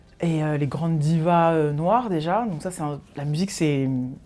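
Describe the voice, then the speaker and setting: A woman speaks in a very deep, low pitch with a dark, mellow tone. Her pitch variation is ordinary. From Paris, France. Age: 30s. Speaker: music journalist. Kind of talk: interview. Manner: halting, many fillers.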